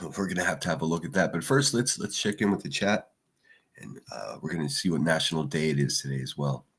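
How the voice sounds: Putting on a character voice, a man talks very fast in a raspy, very deep, low register with lively intonation.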